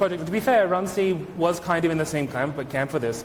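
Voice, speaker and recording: Speaking very fast at a high pitch, a man uses ordinary pitch variation over noticeable background noise and audible room echo. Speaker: conference speaker, software engineer. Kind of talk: conference talk; Q&A answer. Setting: stage with audience.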